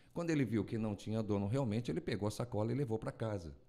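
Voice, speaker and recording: With a dark, mellow tone, a man speaks at a medium pitch with ordinary pitch variation. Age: 50s. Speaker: radio announcer and broadcasting teacher; radio announcer, broadcasting teacher. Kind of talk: casual chat. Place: studio. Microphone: studio mic.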